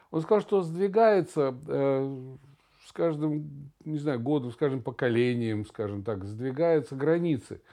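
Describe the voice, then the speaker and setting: A man's fairly high-pitched voice, dark and mellow in tone, at a very slow pace with lively intonation, over a quiet background. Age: 60s. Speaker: podcast co-host. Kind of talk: casual chat.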